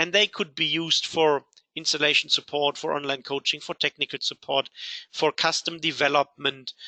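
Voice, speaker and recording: A man's bright, sharp voice with a Rhineland accent, monotone and flat, at a fairly quick pace, dry and close with no echo. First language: German. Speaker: software company CEO. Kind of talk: webinar presentation. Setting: online webinar.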